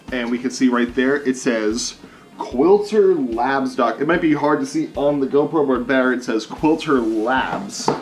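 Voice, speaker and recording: A man speaks at a fairly slow pace, his pitch fairly high with ordinary variation. Noticeable background noise sits behind him. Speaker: guitar gear reviewer. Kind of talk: casual unboxing vlog. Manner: animated.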